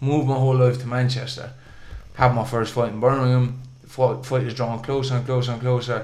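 In an audible room echo, a man talks at a fairly quick pace with monotone, flat intonation. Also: medium pitch for a man. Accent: Munster. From Ireland, Waterford. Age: 20s. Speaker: professional boxer. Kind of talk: interview storytelling.

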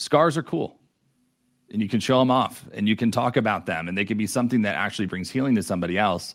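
In a very clean recording with a silent background, a man with an American accent and a fairly low pitch talks at a very fast pace, with an animated tone and ordinary pitch variation. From New York. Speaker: entrepreneur. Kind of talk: interview.

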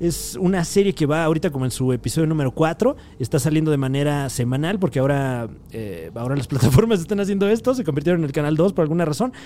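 Very fast delivery with lively intonation and a dark, mellow tone. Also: man, fairly high pitch for a man. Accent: Mexican. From Mexico. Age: 20s. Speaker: podcast host. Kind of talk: casual monologue. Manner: animated.

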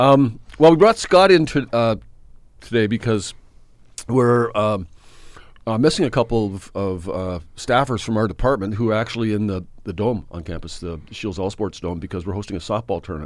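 An ordinary speaking voice with lively intonation and big swings in loudness moves at a moderate pace on a very clean recording with a silent background. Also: man, fairly low pitch for a man. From Saskatchewan, Canada. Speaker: radio host, university athletics. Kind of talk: casual sports radio chat.

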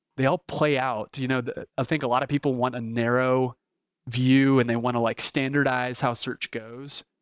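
Recorded with a dry, close sound with no echo over a quiet background, a man with an American accent talks at a moderate pace in a monotone, flat intonation. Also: medium pitch for a man. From Texas (Dallas). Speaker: business owner. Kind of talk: interview.

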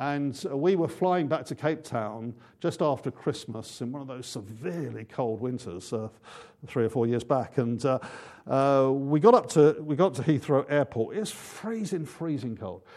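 A man with an English accent, fairly high-pitched, against a quiet background. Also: lively intonation, moderate pace. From England. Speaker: pastor. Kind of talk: sermon. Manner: halting.

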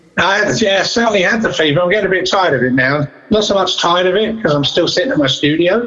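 Amid noticeable background noise, a man with an Essex accent talks at a very fast pace with hardly any pauses, a high pitch, lively intonation and very even loudness. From England, Southend-on-Sea, Essex. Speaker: rock drummer and studio producer. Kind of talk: interview.

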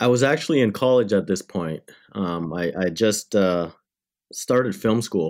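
Very clean recording, silent background, featuring a man with a normal speaking voice. His intonation is lively. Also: fairly low pitch for a man, moderate pace. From Canada, Windsor, Ontario. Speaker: cinematographer and lens company founder. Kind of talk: interview.

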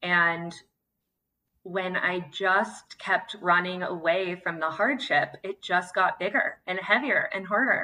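The speaker talks very slowly in an American accent. Pitch varies in an ordinary way. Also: woman, medium pitch for a woman. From California (Santa Cruz). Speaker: fitness coach and nonprofit founder. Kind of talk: interview conversation. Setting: in person with co-host, Zoom call.

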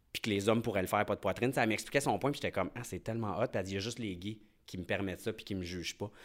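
This man's voice sits at a fairly low pitch with fairly even intonation. The recording is very clean, with a silent background. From Quebec, Lac-Saint-Jean. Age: 30s. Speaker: hair salon owner and reality TV alumnus. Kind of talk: casual interview, personal testimony. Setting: studio.

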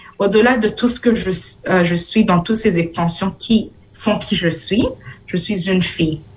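This woman speaks at a medium pitch and a fairly slow pace. Her intonation is fairly even. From Burundi. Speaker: city councillor. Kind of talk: talk. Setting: video call from home.

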